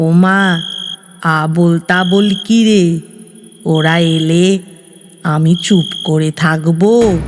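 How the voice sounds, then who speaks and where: A woman mumbles in a put-on character voice at a very slow pace, her pitch fairly low. Her loudness stays very even and her intonation fairly even. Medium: read story. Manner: mumbling, gentle.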